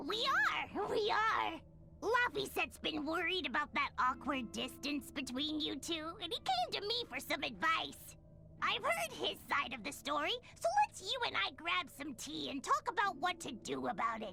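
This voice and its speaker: A high, bubbly put-on character voice over clear background noise. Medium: video game. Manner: lively, bubbly.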